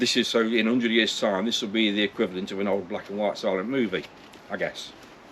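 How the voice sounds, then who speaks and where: A man with an East Midlands accent talks at a very fast pace in a fairly low pitch. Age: 60s. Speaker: vlogger. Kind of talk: casual vlog monologue. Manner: halting, repetitive.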